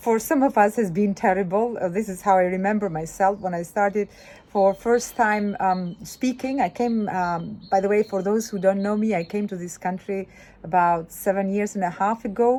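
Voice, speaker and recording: With a non-native accent, a woman talks at a moderate pace in a dark, mellow tone, her medium pitch carried by fairly even intonation. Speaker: women's business club founder. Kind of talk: casual video monologue. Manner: halting, many fillers.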